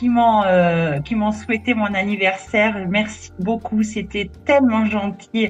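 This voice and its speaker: With music in the background, a woman talks at a fairly slow pace and a medium pitch. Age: 60s. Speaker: crochet hobbyist interviewee. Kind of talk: interview. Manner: hesitant, many fillers.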